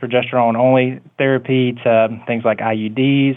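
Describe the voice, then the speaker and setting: A man with a Southern US accent, medium pitch and monotone, flat intonation. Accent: Southern US (Georgia). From US South, Coffee County, Georgia. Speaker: physician (OB/GYN). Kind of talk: interview.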